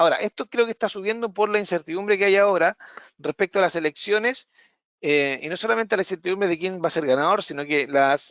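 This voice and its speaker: The sound is dry and close, with no echo. A man speaks very fast in a high voice with ordinary pitch variation. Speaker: trading analyst. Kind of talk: live market analysis webinar.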